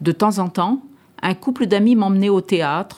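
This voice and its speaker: In a very clean recording with a silent background, a woman talks at a medium pitch with a dark, mellow tone. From Paris. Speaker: retired farm worker. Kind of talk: testimony.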